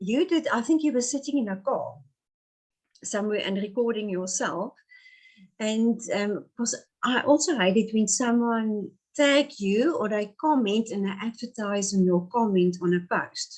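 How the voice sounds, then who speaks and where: In a South African accent, a woman speaks at a fairly slow pace with a fairly high pitch and lively intonation against a quiet background. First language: Afrikaans. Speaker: pastoral narrative therapist. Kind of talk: interview. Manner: halting.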